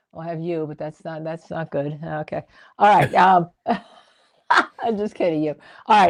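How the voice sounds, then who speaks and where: A woman speaks with a New Jersey accent and ordinary pitch variation. The sound is dry and close with no echo, and the background is quiet. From New Jersey, Monmouth County (Red Bank). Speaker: legal commentator, trial lawyer, show co-host. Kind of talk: live-stream legal talk show chat. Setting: live stream. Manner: animated, emphatic.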